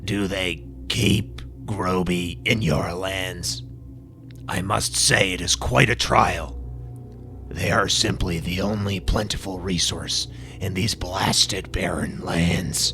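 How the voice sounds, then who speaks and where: A man's very deep, low put-on character voice at a fairly slow pace, over loud background noise. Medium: read story. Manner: imperious, commanding.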